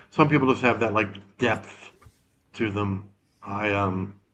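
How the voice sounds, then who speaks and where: A man speaks at a fairly slow pace in a fairly low pitch with ordinary pitch variation. He has an unremarkable speaking voice. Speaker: crypto project team member. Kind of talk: casual chat on livestream.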